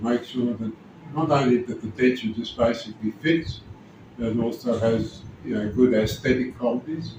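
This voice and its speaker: A man with an Australian accent speaks at a moderate pace, his medium-pitched voice keeping a fairly even intonation. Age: 70s. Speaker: dental patient. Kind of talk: testimony.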